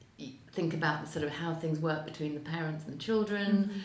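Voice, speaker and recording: Fairly quick speech from a woman with a fairly low voice, set in audible room echo. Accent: English. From England. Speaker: financial services executive. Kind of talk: interview. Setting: on location in Geneva. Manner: hesitant, many fillers.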